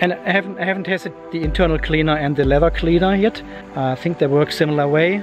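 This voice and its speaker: Over clear background music, a man speaks at a very fast pace in a dry sound with no echo. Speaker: car vlogger. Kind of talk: casual vlog chat. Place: street. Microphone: phone near.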